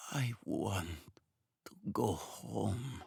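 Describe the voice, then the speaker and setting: A man puts on a raspy character voice pitched fairly low. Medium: read story. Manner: muttering, few words.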